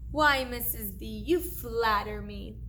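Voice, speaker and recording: A put-on character voice at a fairly slow pace, over clear background noise. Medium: read story.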